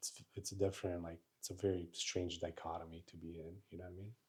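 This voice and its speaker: The voice is somewhat breathy and monotone, with flat intonation and big swings in loudness. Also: man. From Italy, born in Romania. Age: 30s. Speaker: Navy veteran. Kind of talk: podcast interview.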